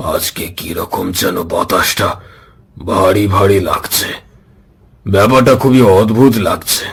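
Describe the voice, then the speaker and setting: Using a raspy, put-on character voice, a man speaks fairly low at a fairly slow pace. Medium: read story.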